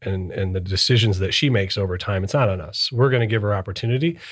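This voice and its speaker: A man talks at a fairly quick pace with a fairly low pitch. His voice is somewhat breathy, with ordinary pitch variation. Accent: American. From US Midwest, Michigan (northern Detroit suburbs). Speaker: lawyer, managing partner. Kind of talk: casual chat.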